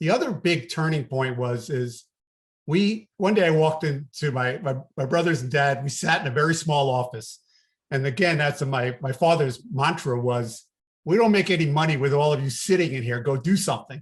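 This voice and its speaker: With a slight New York accent, a man talks at a moderate pace in a fairly high, somewhat breathy voice. His pitch varies in an ordinary way, and the background is quiet. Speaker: business coach. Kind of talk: podcast interview.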